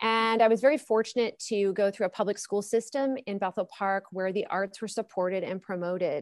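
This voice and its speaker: With a plain, everyday voice, a woman speaks at a fairly quick pace and medium pitch with ordinary pitch variation and hardly any pauses, the sound dry and close with no echo over a quiet background. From Pittsburgh area, Pennsylvania. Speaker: opera singer and music professor. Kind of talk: interview.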